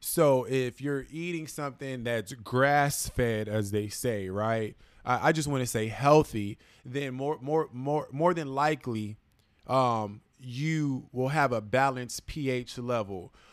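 At a very slow pace, a man talks with medium pitch and ordinary pitch variation. The recording is very clean, with a silent background. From Los Angeles, US. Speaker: plant-based wellness guest. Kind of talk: casual chat.

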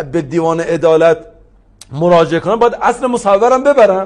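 Pitched high for a man, his voice carries an animated tone at a moderate pace. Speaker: law professor. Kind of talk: interview.

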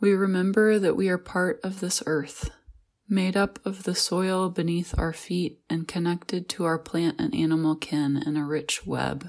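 Speaking with an American accent at a fairly low pitch and a fairly slow pace, with ordinary pitch variation, a woman has an ordinary speaking voice, on a very clean recording with a silent background. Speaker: pastor. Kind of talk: guided meditation. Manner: calm, slow and soothing; gentle, reflective.

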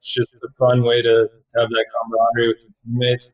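A man with a Canadian accent speaks at a medium pitch and a fairly quick pace, sounding somewhat breathy. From Canada. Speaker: professional hockey player. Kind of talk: interview.

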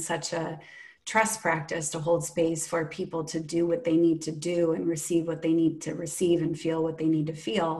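A woman speaks with a fairly low voice. Audible room echo is present. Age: 40s. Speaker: breathwork facilitator. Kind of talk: casual chat.

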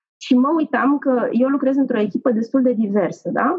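A woman's high-pitched voice with ordinary pitch variation and a moderate pace. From Romania. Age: 40s. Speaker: corporate manager. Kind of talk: casual interview.

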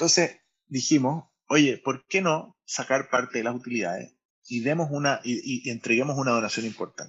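A man speaks with a Chilean accent at a medium pitch. His pitch varies in an ordinary way, and his pace is moderate. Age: 40s. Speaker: startup founder and CEO. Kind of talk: casual interview. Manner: halting, many repetitions and fillers.

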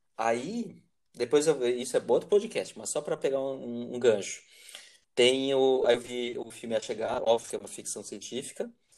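A man talks at a moderate pace. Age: 40s. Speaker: teacher and podcast host. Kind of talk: casual conversation. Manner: halting.

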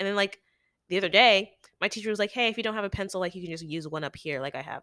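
A woman at a medium pitch, very fast and animated, with a bright, sharp tone and ordinary pitch variation, on a very clean recording with a silent background. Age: 18. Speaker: college student podcast co-host. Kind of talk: casual chat. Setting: audio-only recording.

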